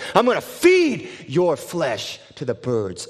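Shouting in a menacing tone, a man performs a put-on character voice at a fairly slow pace. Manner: screaming, menacing.

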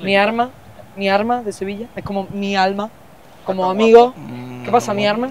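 Long, frequent pauses break up speech at a moderate speed, with noticeable noise in the background. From Seville. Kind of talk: casual, friendly.

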